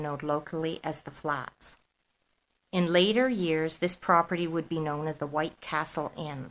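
A woman with an unremarkable speaking voice talks at a fairly low pitch and a fairly slow pace. The recording is very clean, with a silent background. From Toronto, Canada. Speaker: author. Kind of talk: reading aloud.

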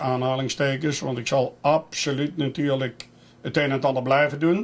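Monotone, flat intonation marks this man's speech at a moderate pace. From Netherlands, Eindhoven; Netherlands. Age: 70s. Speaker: cycling race announcer; retiring race announcer. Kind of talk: interview. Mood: relaxed, reflective. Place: home room.

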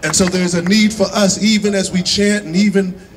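A man's high-pitched voice at a moderate pace over light background noise. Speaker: rally speaker leading a moment of silence. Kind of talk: solemn rally address with a preacherly cadence. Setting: outdoor rally with crowd. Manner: measured, grave, repetitive phrasing building emphasis. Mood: somber, earnest. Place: street.

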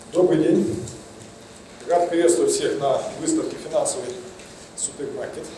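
Speaking at a moderate pace with long, frequent pauses, a man is heard with audible room echo and light background noise. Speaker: investment consultant. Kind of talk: conference talk. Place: hall. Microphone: handheld.

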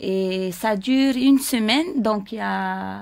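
Her voice sits at a medium pitch and moves up and down in an ordinary way. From French Polynesia, Raiatea; French Polynesia. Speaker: dance school owner; dance school teacher guest. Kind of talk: casual chat. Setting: radio studio. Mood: warm, nostalgic at times. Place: studio. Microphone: studio mic.

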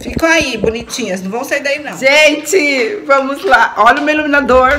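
A woman talks at a moderate pace in a raised, projected voice. Her intonation is lively, with light background noise. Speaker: home vlogger. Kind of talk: casual vlog chat. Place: kitchen. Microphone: phone near.

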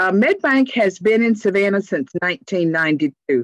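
On a quiet background, a woman speaks with lively intonation in a dry sound with no echo. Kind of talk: informational presentation. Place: home room. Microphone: video call.

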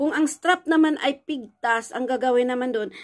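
Her voice sits high in pitch. The woman speaks at a moderate pace. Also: quiet background. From Philippines. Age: 50s. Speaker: vlogger; vlogger telling her life story. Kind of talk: personal storytelling vlog; casual vlog chat. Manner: halting, with frequent fillers. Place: home room. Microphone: phone near.

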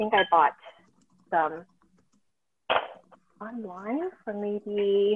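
A woman talks at a very slow pace with a slightly husky edge. Her pitch varies in an ordinary way. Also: medium pitch for a woman, dry, close sound with no echo.

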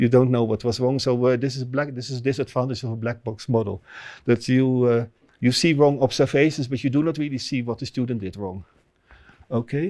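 In a Dutch accent, a man with a medium-pitched, dark, mellow voice speaks at a fairly quick pace with fairly even intonation against a quiet background. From Netherlands. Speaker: professor. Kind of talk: lecture. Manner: halting. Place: hall.

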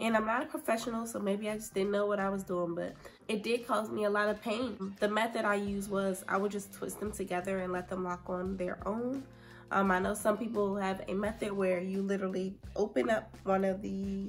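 A woman speaks at a fairly quick pace in a relaxed tone with fairly even intonation. Faint music plays in the background. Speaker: hair care vlogger. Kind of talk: casual talk to camera. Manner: chatty, relaxed. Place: home room. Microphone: phone near.

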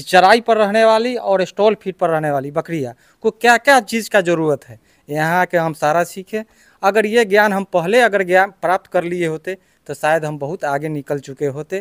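In a quiet setting, a man talks in a high pitch that varies in an ordinary way. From Bihar, India (Muzaffarpur); Bihar, India. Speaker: goat farmer, trainee. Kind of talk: interview. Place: farm machine.

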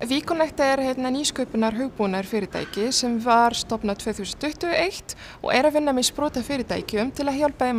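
Over light background noise, a woman talks with a high pitch and ordinary pitch variation. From Tunisia. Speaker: tech entrepreneur; news interviewee. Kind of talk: news interview. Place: office.

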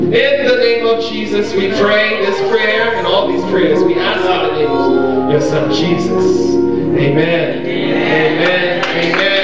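Loud music fills the background as the speaker goes at a very slow pace, with audible room echo. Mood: earnest, reverent. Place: church.

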